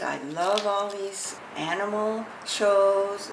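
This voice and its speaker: The clip has noticeable background noise and audible room echo. Through it, a woman talks at a medium pitch. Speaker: elderly interviewee. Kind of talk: documentary interview. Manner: halting, with fillers.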